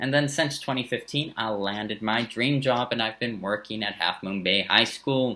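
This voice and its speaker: This man speaks with a slight German accent at a moderate pace. His tone is bright and sharp, at a medium pitch with ordinary pitch variation. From San Francisco Bay Area, early childhood in Germany. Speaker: high school social studies teacher. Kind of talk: teacher introduction video. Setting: recorded video for remote learning. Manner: casual, with frequent fillers.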